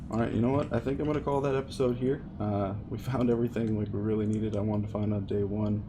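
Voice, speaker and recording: Audible room echo surrounds a man at a fairly low pitch. He talks very fast with hardly any pauses and fairly even intonation. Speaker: gaming video creator. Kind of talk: gameplay commentary.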